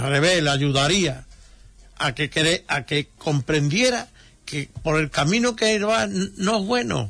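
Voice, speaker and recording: A man with a fairly high, bright, sharp voice and vocal fry speaks at a fairly slow pace with very wide pitch swings. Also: quiet background. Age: 70s. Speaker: retired brotherhood volunteer. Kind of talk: radio interview.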